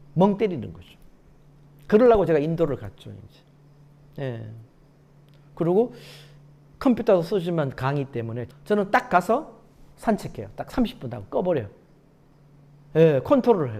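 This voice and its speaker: At a moderate pace with long, frequent pauses, a man with a high pitch and a dark, mellow tone speaks with very wide pitch swings and big swings in loudness. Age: 60s. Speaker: success coach and lecturer. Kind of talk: lecture. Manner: animated.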